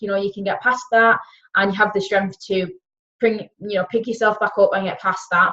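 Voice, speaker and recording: Speaking in a Yorkshire accent, a woman keeps a medium pitch and a monotone, flat intonation. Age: 20s. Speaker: wellness coach. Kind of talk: webinar talk.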